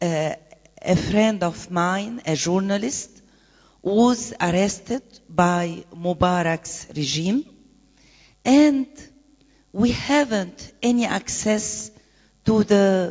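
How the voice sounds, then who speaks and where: Speaking very slowly with long, frequent pauses, a woman with an Arabic accent uses lively intonation at medium pitch. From Egypt. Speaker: activist and presidential candidate. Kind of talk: conference panel talk. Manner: halting, many hesitations.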